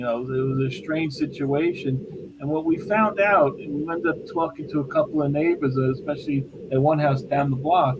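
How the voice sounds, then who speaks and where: There is noticeable background noise as a man with an American accent and fairly high pitch talks. His pace is moderate, with ordinary pitch variation and hardly any pauses. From New York City (Bensonhurst, Brooklyn). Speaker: paranormal investigator. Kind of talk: casual interview chat.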